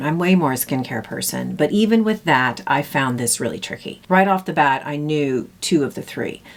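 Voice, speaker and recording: A woman talks at a moderate pace with very wide pitch swings. Noticeable background noise sits behind her. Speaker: beauty vlogger. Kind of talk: casual makeup tutorial.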